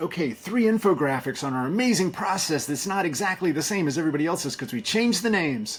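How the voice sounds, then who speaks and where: Loud, energetic male voice with very wide pitch swings and a fairly quick pace. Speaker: agency community leader, former agency owner. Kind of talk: podcast interview.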